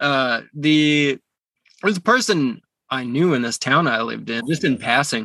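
With a western Canadian accent, a man talks at a fairly slow pace and fairly high pitch, his bright, sharp tone showing ordinary pitch variation in a dry, close sound with no echo. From Calgary, western Canada. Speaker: musician. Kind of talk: casual chat. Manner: halting.

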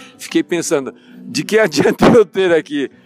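A man speaks with music in the background. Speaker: financial consultant. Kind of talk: interview.

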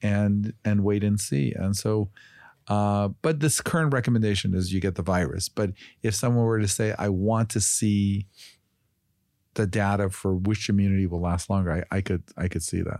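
A man's fairly low, dark, mellow voice with an American accent, ordinary pitch variation, moderate pace and very even loudness, in a very clean recording with a silent background. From Chicago, US Midwest. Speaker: physician and health company executive. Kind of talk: interview.

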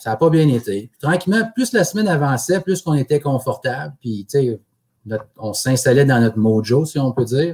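His pitch sits fairly high for a man, and his voice is somewhat breathy. The intonation is lively. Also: moderate pace. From Quebec, Abitibi (Amos). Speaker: curling champion. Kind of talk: podcast interview.

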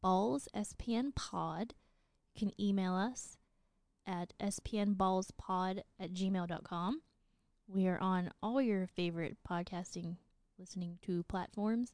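A very slow pace with ordinary pitch variation, in an Upper Midwest accent. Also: woman. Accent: sounds Upper Midwest, like North Dakota. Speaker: podcast co-host. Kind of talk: casual chat.

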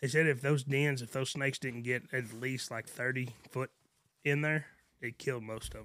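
Here a man speaks in a West Texas accent at a medium pitch, his tone bright and sharp. His intonation is monotone and flat, with big swings in loudness. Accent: West Texas drawl. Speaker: rancher. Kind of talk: casual chat.

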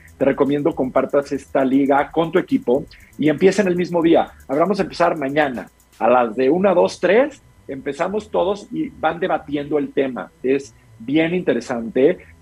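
This man's voice sits fairly high in pitch. He moves at a moderate pace with lively intonation. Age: 40s. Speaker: mental health coach for business leaders. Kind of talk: interview.

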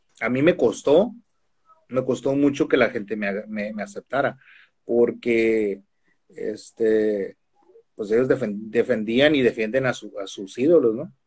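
At a fairly slow pace, a man with an ordinary speaking voice talks at a medium pitch with ordinary pitch variation and big swings in loudness. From Mexico, Tijuana. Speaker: professional wrestler. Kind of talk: casual interview. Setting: video call.

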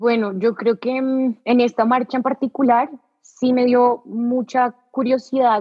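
Her high-pitched voice moves at a very slow pace, with fairly even intonation and very even loudness, as this woman speaks. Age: 20s. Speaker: journalism graduate student. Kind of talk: interview.

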